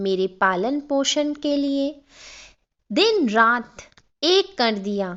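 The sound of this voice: A woman speaks in a high voice with a fairly bright tone. Her intonation is lively and her pace very slow.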